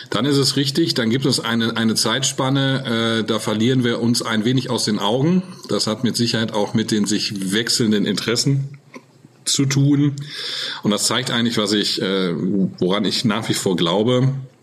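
A man at medium pitch and moderate pace, with ordinary pitch variation, very even loudness and noticeable background noise. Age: 40s. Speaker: retail executive. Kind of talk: interview. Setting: video call.

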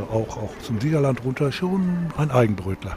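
Over noticeable background noise, a man of medium pitch talks at a moderate pace with lively intonation. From Hagen, Westphalia, Germany. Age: 60s. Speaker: mayoral candidate, master craftsman. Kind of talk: radio interview questionnaire.

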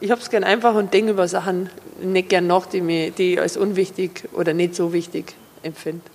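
The speaker talks at a fairly quick pace with an Upper Bavarian accent and fairly even intonation. Noticeable background noise runs underneath. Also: woman, medium pitch for a woman. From Upper Bavaria, Fürstenfeldbruck district. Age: 40s. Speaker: cabaret comedian. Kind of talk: interview. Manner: hesitant, many fillers.

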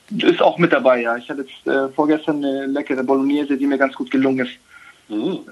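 A man at a very fast pace and fairly high pitch, his intonation fairly even. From Germany, Baden-Württemberg. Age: 30s. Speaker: professional footballer. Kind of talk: interview.

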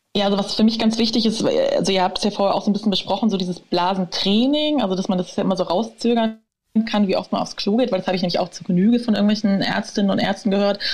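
A woman at a very fast pace, medium in pitch, somewhat breathy, with fairly even intonation. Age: 30s. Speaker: author and patient with overactive bladder. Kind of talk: interview, personal story.

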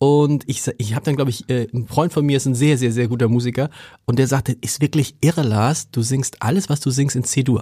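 A man speaks at a medium pitch and a moderate pace, with fairly even intonation. His tone is dark and mellow and somewhat breathy. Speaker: newspaper editor and podcast host. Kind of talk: interview. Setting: studio.

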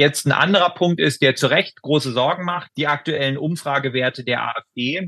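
The man has an unremarkable speaking voice, fairly high in pitch, with ordinary pitch variation at a moderate pace. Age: 40s. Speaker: member of parliament and emergency physician. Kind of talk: interview. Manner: formal.

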